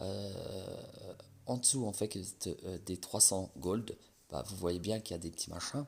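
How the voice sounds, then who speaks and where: A soft-spoken man talks at a fairly slow pace. His pitch varies in an ordinary way. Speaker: gaming YouTuber. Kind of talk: game presentation. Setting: at home at night. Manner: soft-spoken, talking quietly; casual, hesitant with many fillers.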